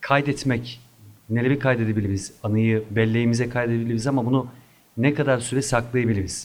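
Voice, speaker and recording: A man's plain, everyday voice at a medium pitch, fairly quick in pace, with fairly even intonation and very even loudness. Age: 30s. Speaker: photography instructor. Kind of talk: interview.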